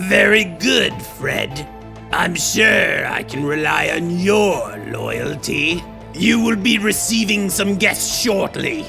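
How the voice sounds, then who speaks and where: A man performs in a put-on character voice at a fairly slow pace. Clear music plays in the background. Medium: audio drama.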